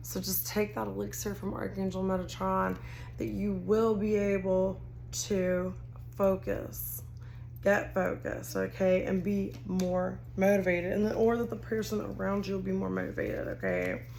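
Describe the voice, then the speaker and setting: A woman speaks at a moderate pace in a Texas accent. Audible room echo surrounds her voice. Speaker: tarot card reader. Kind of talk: tarot reading to camera. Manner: casual, rambling with self-corrections.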